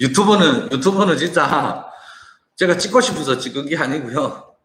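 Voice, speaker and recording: A man talks at a moderate pace in a high pitch, with very wide pitch swings. Room echo is audible. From China. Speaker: online business owner and entrepreneur. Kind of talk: casual monologue to viewers, business talk. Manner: halting, with frequent repetitions and restarts.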